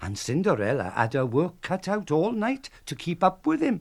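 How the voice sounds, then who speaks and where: A man with a south Wales Valleys accent speaks at a fairly slow pace, his pitch swinging very widely. The recording is very clean, with a silent background. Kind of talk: storytelling on radio. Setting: radio broadcast.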